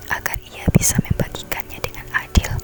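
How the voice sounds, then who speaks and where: Whispering at a fairly slow pace comes through noticeable background noise. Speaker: ASMR creator. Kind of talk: fairy tale reading. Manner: whispered.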